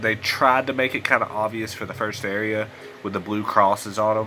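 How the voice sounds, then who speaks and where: A man with a Southern US accent speaks at a moderate pace in a fairly low voice, with noticeable background noise. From US South. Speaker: gaming YouTuber. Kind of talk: let's play commentary. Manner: casual, conversational. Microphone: poor audio quality.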